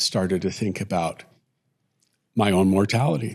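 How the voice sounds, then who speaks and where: This man talks with ordinary pitch variation. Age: 60s. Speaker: retired father, podcast co-host. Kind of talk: casual conversation; scripted intro. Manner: hesitant, reflective.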